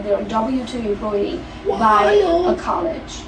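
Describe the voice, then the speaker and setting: Lively intonation over noticeable background noise. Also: woman. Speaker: entrepreneur and realtor. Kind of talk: podcast interview answer. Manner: fast.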